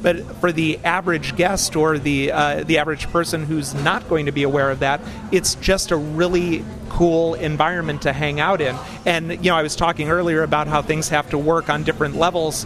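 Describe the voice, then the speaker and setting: With music in the background, a man speaks in a monotone, flat intonation. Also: fairly high pitch for a man. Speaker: theme park writer and designer. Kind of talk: casual interview.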